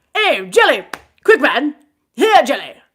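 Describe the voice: Using a put-on character voice, a woman speaks high and fairly slowly with big pitch swings and a fairly bright tone.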